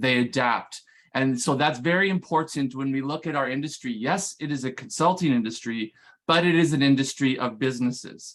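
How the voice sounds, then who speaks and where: Speaking with a Canadian accent, a man talks at a fairly quick pace and fairly high pitch, with ordinary pitch variation. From Canada. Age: 40s. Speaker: management consultant. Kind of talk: conference presentation. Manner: hesitant, many fillers.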